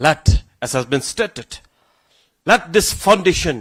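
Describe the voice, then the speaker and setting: A man with a northeastern Indian accent at a moderate pace, with a dry, close sound and no echo. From Meghalaya, India (Garo community). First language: Garo. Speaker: government official / chief guest speaker. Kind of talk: ceremonial speech. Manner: halting, with restarts and repetitions.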